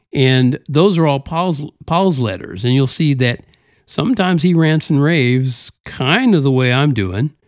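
Recorded very cleanly against a silent background, a man talks at a fairly slow pace with very even loudness, lively intonation and a fairly high pitch. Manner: exasperated, sarcastic, hot-blooded, emphatic; conversational, casual.

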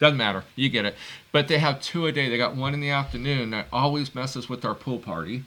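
Speaking very fast, a man with a medium pitch has a bright, sharp tone, ordinary pitch variation and vocal fry, on a very clean recording with a silent background. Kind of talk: casual chat.

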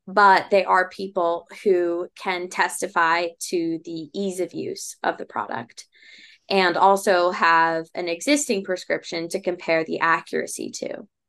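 Against a quiet background, a woman uses an ordinary speaking voice, fairly low in pitch, with ordinary pitch variation and a fairly slow pace. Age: 20s. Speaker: startup founder. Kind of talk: interview.

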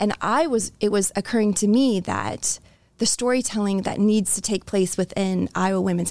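A woman's medium-pitched voice at a moderate pace, with fairly even intonation and very even loudness, in a very clean recording with a silent background. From Florida, moved constantly. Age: 40s. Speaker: college tennis coach. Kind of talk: casual chat. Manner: halting.

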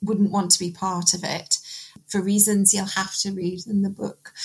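Somewhat breathy, a woman's medium-pitched voice carries her words. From Newcastle upon Tyne, northeast England. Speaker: poet and novelist. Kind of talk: casual panel discussion.

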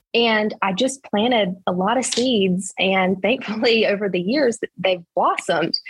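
Somewhat breathy and medium in pitch, a woman's voice moves at a fairly slow pace with ordinary pitch variation. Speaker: real estate agent. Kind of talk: interview.

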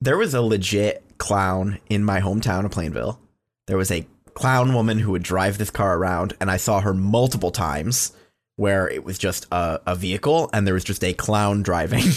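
Against a quiet background, a man speaks at a moderate pace in an animated tone. His pitch is fairly low, with ordinary pitch variation. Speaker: podcast host. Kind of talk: casual banter. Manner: animated, joking.

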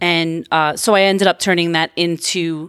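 In a very clean recording with a silent background, a woman talks with an American accent at a moderate pace. She has an ordinary speaking voice, fairly low in pitch. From Long Island, New York. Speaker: artist and gallery owner. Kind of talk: interview.

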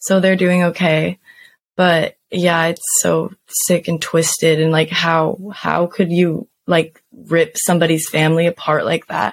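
An unremarkable speaking voice moves at a fairly slow pace with fairly even intonation and very even loudness. The sound is dry and close, with no echo. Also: woman, fairly low pitch for a woman. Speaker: podcast host. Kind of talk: casual banter true crime storytelling.

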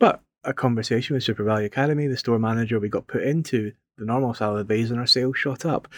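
Very fast and fairly even in intonation, a man with a Scottish accent speaks at a medium pitch in a dry, close sound with no echo. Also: very clean recording, silent background. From Scotland. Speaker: community garden manager. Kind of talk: podcast interview.

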